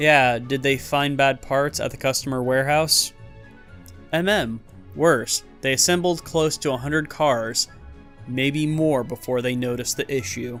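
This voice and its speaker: Over music in the background, the speech moves at a fairly slow pace. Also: man, medium pitch for a man, ordinary pitch variation. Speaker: Reddit story narrator. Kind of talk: reading Reddit posts aloud.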